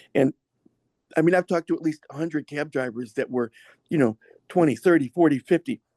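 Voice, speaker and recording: A dry, close sound with no echo, from a man with a fairly high, dark and mellow voice and ordinary pitch variation. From US, Massachusetts (Berkshires). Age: 60s. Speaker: masseur and former professional dancer. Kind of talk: podcast interview. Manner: halting, self-interrupting.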